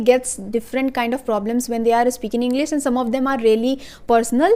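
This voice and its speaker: Speaking at a fairly quick pace, a woman uses a high pitch and an Indian accent. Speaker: YouTuber, English learning tips. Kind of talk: casual tutorial. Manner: fast; hesitant, many fillers.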